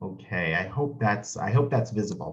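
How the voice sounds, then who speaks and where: Somewhat breathy, a man with an American accent talks at a fairly quick pace. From United States. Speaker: history professor. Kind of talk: lecture.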